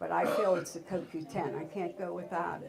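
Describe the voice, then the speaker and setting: A woman's fairly low voice at a fairly quick pace, with noticeable background noise. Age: 70s. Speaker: workshop guest giving health testimony. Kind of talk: testimony. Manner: halting.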